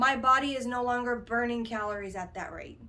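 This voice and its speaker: Bright and sharp in tone, a woman with a fairly high pitch speaks with fairly even intonation amid audible room echo. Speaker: fitness vlogger. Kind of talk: casual talk to camera. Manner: fast; hesitant, many fillers.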